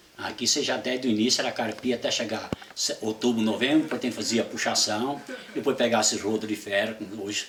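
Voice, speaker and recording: Noticeable background noise sits behind a man of medium pitch who talks at a fairly quick pace with fairly even intonation. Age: 70s. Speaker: retired coffee farmer. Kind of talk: oral history interview. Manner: halting.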